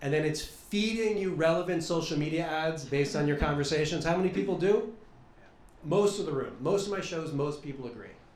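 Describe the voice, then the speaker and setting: Talking at a fairly quick pace, a man with an American accent has a fairly high pitch and ordinary pitch variation, with audible room echo and noticeable background noise. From US, Philadelphia. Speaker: stand-up comedian. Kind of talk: stand-up. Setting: stage with audience.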